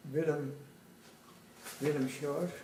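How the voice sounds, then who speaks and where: In a room with audible echo and noticeable background noise, a man with a fairly high pitch speaks at a fairly slow pace. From Dutch East Indies (Java), Surabaya. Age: 90s. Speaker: war veteran. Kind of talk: oral history interview.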